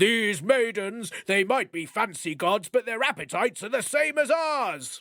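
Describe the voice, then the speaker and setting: The man puts on a character voice pitched high. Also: moderate pace. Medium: read story. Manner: laughing, jovial.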